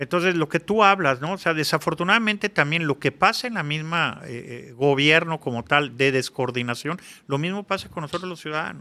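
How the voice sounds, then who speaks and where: Recorded very cleanly against a silent background, a man with a bright, sharp tone talks at a fairly quick pace and fairly high pitch, with ordinary pitch variation and hardly any pauses. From Mexico City. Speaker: public security consultant. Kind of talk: interview. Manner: halting, many repetitions.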